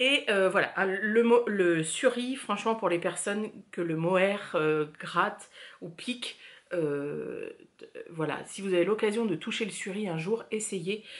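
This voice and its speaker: Her pitch varies in an ordinary way. This woman talks very slowly. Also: medium pitch for a woman. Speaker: knitting podcaster. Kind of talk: casual chat. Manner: hesitant, many filler words.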